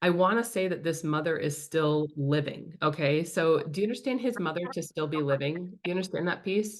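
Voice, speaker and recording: Animated and fairly quick, a woman talks with hardly any pauses at a fairly low pitch with ordinary pitch variation. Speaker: spirit medium. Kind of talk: mediumship reading. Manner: fast.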